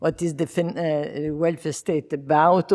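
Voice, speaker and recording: A woman with an Italian accent speaks at a fairly slow pace, her very deep, low pitch carrying a dark, mellow tone. Her intonation is fairly even, and the recording is very clean with a silent background. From Italy. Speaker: discussant. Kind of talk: academic panel discussion. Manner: halting.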